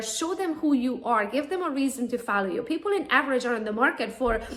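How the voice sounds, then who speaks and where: There is noticeable background noise as a woman with a Romanian accent talks fairly quickly in a high voice with lively intonation. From Romania, Transylvania. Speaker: real estate agent and social media trainer. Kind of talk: conference talk.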